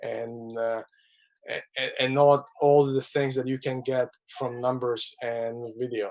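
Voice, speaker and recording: A man with a non-native accent speaks at medium pitch in a flat monotone. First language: not English. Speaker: hockey scout. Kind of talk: webinar interview. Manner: halting, many repetitions.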